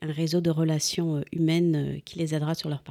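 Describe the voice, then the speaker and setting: Very deep and low in pitch, a woman with a dark, mellow tone speaks at a fairly slow pace on a very clean recording, silent in the background, with a dry, close sound and no echo. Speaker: university international relations deputy director. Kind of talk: formal interview. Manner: formal.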